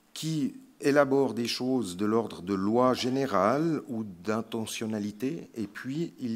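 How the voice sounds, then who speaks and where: A man speaks at a medium pitch with a Swiss accent and ordinary pitch variation. The recording is very clean, the background silent. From Switzerland (French-speaking). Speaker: palliative care physician. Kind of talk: conference talk. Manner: slow; hesitant, many fillers.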